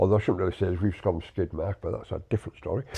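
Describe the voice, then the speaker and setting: A man speaks in a somewhat breathy voice. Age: 60s. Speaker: podcast co-host, army veteran. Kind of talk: casual chat. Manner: halting, many repetitions.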